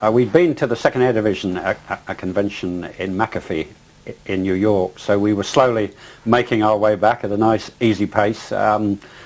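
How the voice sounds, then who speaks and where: Speaking with an English accent at a moderate pace, a man with a fairly low pitch uses ordinary pitch variation. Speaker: pilot, eyewitness. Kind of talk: interview testimony. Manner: halting, many fillers and repetitions.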